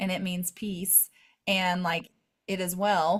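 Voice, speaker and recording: A woman speaks in a shaky voice. Her pace is fairly slow. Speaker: faith podcast co-host. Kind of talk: casual chat. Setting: live video call.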